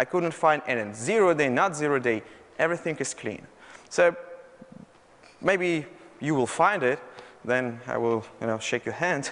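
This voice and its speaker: With a Russian accent, a man speaks at a fairly slow pace in a fairly high pitch, using lively intonation and long, frequent pauses. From Russia, Moscow. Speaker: malware researcher. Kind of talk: conference talk. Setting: stage with audience. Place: hall.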